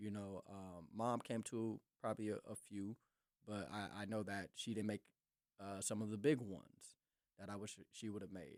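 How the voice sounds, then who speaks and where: With an American accent, a man speaks in an ordinary speaking voice at a moderate pace, his fairly low pitch kept in fairly even intonation, in a dry, close sound with no echo. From North Minneapolis, USA. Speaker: pastor, podcast guest. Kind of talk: interview answer, personal testimony. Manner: reflective, sincere.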